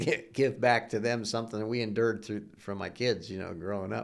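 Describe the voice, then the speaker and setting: A man with an American accent speaks at a medium pitch with vocal fry and ordinary pitch variation. The recording is very clean, with a silent background. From US Midwest, Ohio. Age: 60s. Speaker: retired business founder. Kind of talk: interview. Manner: halting, repeats words.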